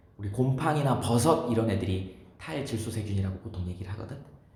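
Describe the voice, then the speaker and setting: A man is talking in a room with audible echo. Noticeable background noise is present. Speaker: science teacher. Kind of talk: lecture.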